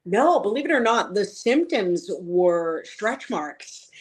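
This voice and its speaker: A woman speaks at a very slow pace with an American accent. Her intonation is lively. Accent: Boston accent, said to be strong but hidden. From Boston, Massachusetts. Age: 40s. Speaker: patient advocate. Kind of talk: interview.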